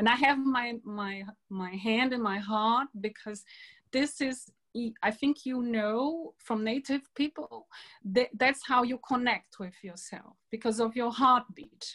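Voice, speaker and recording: In a Brazilian accent, the speaker goes at a very slow pace with ordinary pitch variation. The sound is dry and close, with no echo. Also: woman, high pitch for a woman. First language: Portuguese. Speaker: environmentalist and peace speaker. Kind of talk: online talk to a women's group. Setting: video call.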